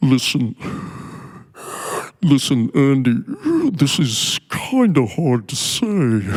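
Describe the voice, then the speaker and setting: A put-on character voice speaks at a very slow pace with long, frequent pauses. The pitch sits low-to-middle. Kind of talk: casual, apologetic.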